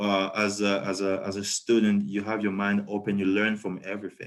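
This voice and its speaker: A man with a French accent speaks at a moderate pace in a fairly low pitch. The background is quiet. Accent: French-speaking. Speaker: PhD student. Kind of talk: webinar talk. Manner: hesitant, many fillers.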